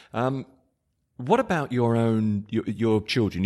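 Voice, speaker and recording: At a moderate pace and a fairly low pitch, a man talks in a normal speaking voice against a quiet background. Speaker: podcast host. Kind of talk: interview.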